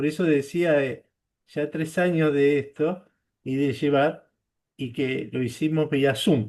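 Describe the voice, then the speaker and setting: The speaker is a man. The background is quiet. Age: 60s. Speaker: service club member and blood donor. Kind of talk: testimony at online training. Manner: halting, with fillers.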